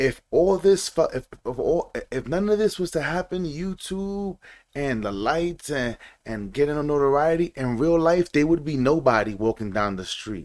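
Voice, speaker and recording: A man with an American accent speaks at a moderate pace in a fairly high voice, his pitch swinging very widely. The recording is very clean, with a silent background. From New York City (Bronx). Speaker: reaction commentary YouTuber. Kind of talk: casual monologue commentary. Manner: animated.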